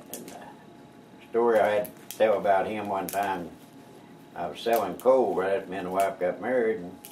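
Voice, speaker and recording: In an Oklahoma accent, the speaker keeps fairly even intonation at a moderate pace, with long, frequent pauses, big swings in loudness and noticeable background noise. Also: man, fairly low pitch for a man. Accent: rural Oklahoma. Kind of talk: storytelling interview answer. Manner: casual, folksy.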